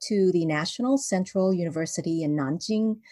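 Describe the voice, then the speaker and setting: A woman speaks at a moderate pace in an unremarkable speaking voice. Her pitch sits fairly low, with lively intonation. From Vancouver, Canada. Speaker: children's book author. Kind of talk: interview. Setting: video call.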